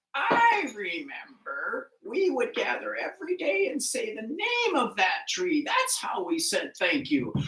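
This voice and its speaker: A put-on character voice, pitched high and swinging very widely up and down. It moves at a fairly slow pace with hardly any pauses. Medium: read story.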